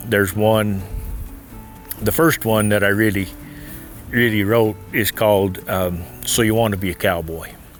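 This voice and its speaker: Over music in the background, a man with an American accent speaks at a moderate pace, with fairly even intonation and long, frequent pauses. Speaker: cattle rancher and cowboy poet. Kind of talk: interview answer.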